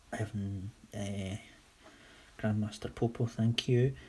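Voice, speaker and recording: With a Scottish accent, a man speaks at a fairly low pitch in a dark, mellow tone that is somewhat breathy, keeping his intonation fairly even. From Scotland, Whitburn (West Lothian). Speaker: toy customiser / livestreamer. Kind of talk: casual livestream chat answering viewer questions. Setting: live stream on camera.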